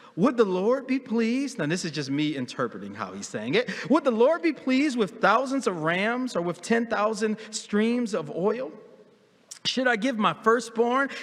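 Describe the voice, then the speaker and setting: Over noticeable background noise, a man with a high voice speaks at a moderate pace with lively intonation. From US Northeast, Philadelphia. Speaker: pastor. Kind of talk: sermon. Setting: church. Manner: animated; repetitive stammering restarts.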